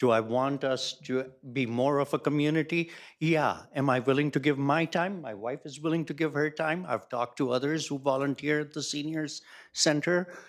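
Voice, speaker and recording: A man with an unremarkable speaking voice talks at a moderate pace, his pitch fairly high and his intonation fairly even. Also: very clean recording, silent background. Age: 60s. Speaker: public commenter. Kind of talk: council meeting discussion.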